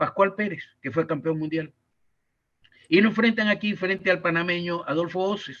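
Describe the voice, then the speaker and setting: At a moderate pace, a man speaks in a high pitch with a bright, sharp tone. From Ecuador. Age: 80s+. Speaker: sports journalist and commentator. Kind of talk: interview answer.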